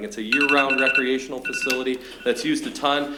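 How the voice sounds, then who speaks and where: A man's medium-pitched voice carries audible room echo along with noticeable background noise. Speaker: public commenter at city council. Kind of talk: public comment. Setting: city council meeting. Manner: fast.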